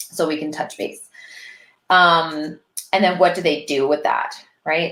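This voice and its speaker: This woman has a normal speaking voice, pitched fairly low, and talks at a moderate pace. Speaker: business consultant, online business manager. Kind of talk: live stream tutorial. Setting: live video stream.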